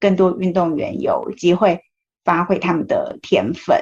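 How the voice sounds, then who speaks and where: Somewhat breathy, a woman's voice moves at a fairly slow pace. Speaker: podcast host. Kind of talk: interview. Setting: remote recording in Taipei.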